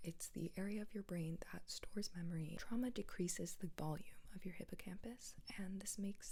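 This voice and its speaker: A soft-spoken woman talks in a calm, gentle tone with an American accent, somewhat breathy at medium pitch. Her pace is fairly quick and her pitch varies in an ordinary way. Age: 20s. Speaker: ASMR and mental health content creator. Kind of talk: soft-spoken ASMR-style educational chat to camera. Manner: soft-spoken, calm, gentle.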